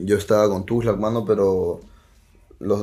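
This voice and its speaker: A man with a Peruvian accent at a fairly quick pace. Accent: Peruvian Spanish (Lima). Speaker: rapper. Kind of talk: casual chat.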